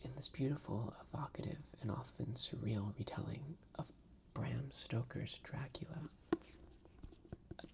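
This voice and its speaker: Whispering at a fairly slow pace. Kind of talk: book blurb reading. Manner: whispered.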